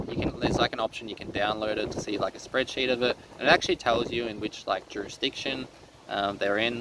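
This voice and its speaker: In an Australian accent, someone talks at a very fast pace against noticeable background noise. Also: man. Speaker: teacher and online resource seller. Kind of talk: casual vlog monologue. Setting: seated indoors. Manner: hesitant, many fillers.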